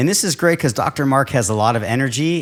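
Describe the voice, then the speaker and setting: Talking at a fairly quick pace, a man uses an ordinary speaking voice at a medium pitch with lively intonation. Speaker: podiatrist. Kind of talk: podcast host interview.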